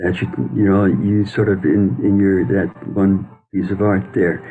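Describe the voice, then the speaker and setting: A man's fairly low voice, dark and mellow in tone, at a fairly slow pace. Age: 70s. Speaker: photographer and mental health worker. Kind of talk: casual chat. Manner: halting.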